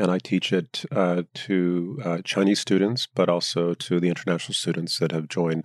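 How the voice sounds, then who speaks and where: Speaking at a moderate pace with an American accent, a man uses a very deep, low pitch and ordinary pitch variation. The sound is dry and close with no echo, on a very clean recording with a silent background. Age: 50s. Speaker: professor of politics. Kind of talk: interview. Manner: halting, many fillers.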